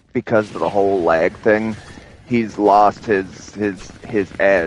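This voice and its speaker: Over noticeable background noise, a man with a fairly low pitch speaks at a very slow pace with fairly even intonation. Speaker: gaming streamer. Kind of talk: casual gaming livestream chat. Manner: halting, repeats words.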